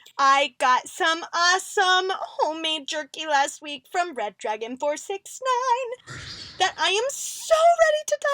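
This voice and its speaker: Using a put-on character voice, a woman talks at an extremely high pitch in an upbeat, energetic tone and a fairly slow pace. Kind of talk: video host outro to fans. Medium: audio drama.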